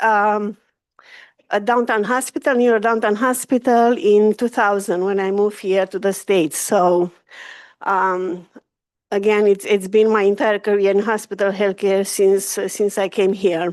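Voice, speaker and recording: Over a quiet background, a woman with a Romanian accent speaks at a fairly slow pace in a medium pitch with fairly even intonation. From Romania, Carpathian Mountains. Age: 50s. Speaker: hospital executive. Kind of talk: public presentation. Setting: community board meeting.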